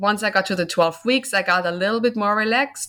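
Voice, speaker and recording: A woman with a German accent talks at a moderate pace in a bright, sharp tone, her pitch varying in an ordinary way over a very clean recording with a silent background. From Germany. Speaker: author and mother. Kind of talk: interview.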